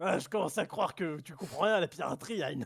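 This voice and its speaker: In a put-on character voice, a man speaks at a very fast pace with a high pitch. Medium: actual play.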